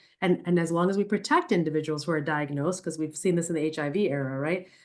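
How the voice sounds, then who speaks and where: A woman's fairly low pitch, an unremarkable speaking voice with ordinary pitch variation, against a quiet background. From New York City, the Bronx. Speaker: neurologist. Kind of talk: Q&A answers in a webinar talk.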